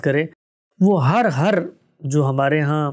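At a fairly slow pace, a man speaks with a fairly high pitch. His pitch varies in an ordinary way against a quiet background. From Pakistan, Karachi; Pakistan. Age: young. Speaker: Islamic scholar; guest. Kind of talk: life-story interview. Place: studio.

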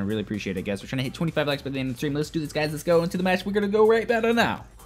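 Over faint background music, a man talks at a very fast pace with lively intonation and an animated tone. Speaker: gaming livestreamer. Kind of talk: casual livestream chat while gaming. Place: home room. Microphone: headset.

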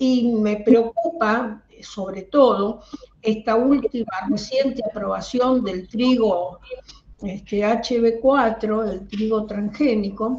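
Over light background noise, a woman speaks at a very slow pace in a fairly high voice with fairly even intonation. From Argentina. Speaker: educator. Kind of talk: audience question. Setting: video call. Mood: concerned, earnest. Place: home room. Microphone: headset.

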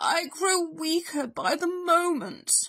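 In a put-on character voice, a woman speaks slowly at an extremely high pitch, her bright, sharp tone rising and falling in big swings.

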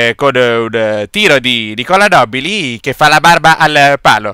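In a very clean recording with a silent background, a man with a fairly high pitch sounds excited and playful, his tone bright and sharp. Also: dry, close sound with no echo. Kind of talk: sports commentary, recap voice-over of a local five-a-side final. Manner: brisk, play-by-play delivery with lively, excited energy; playful, joking tone with tongue-in-cheek remarks.

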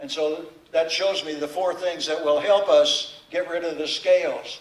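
In a room with audible echo, a man with an American accent speaks at a fairly slow pace. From US Midwest (southern Illinois). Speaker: pastor. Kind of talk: sermon. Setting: church. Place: church. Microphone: podium.

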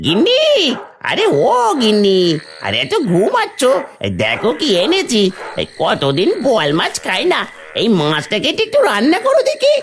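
A cartoonish character voice speaks at a moderate pace. Background noise is clearly audible.

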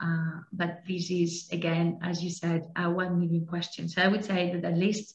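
The speaker talks at a moderate pace with a Spanish accent, somewhat breathy. Room echo is audible against a quiet background. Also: woman. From Spain. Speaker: law enforcement cooperation coordinator; webinar presenter. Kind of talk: presentation. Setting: online webinar. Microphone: headset.

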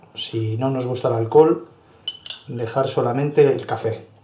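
A man's moderately paced speech in fairly even intonation, with audible room echo and light background noise. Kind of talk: tutorial. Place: kitchen.

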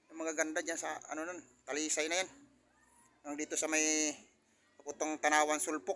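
Speaking at a fairly quick pace with long, frequent pauses, a man has a fairly high pitch. His tone is bright and sharp, his intonation monotone and flat. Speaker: vlogger. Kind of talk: casual vlog narration. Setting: outdoors on a rooftop.

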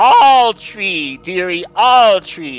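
This is a put-on character voice at a middle pitch. Faint music plays in the background. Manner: yelling loudly.

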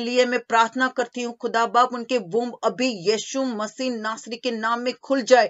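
Shouting comes at a moderate pace with fairly even intonation. The background is quiet. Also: woman. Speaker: prayer leader. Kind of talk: fervent prayer with spiritual warfare commands and deliverance. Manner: commanding, shouting. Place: home room. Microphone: webcam.

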